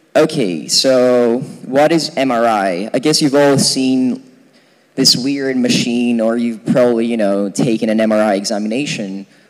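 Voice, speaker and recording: A man's voice, medium in pitch, over noticeable background noise. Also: ordinary pitch variation, moderate pace. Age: 20s. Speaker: physics student lecturer. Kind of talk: lecture. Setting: lecture hall with audience, using a mic. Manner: casual, many fillers.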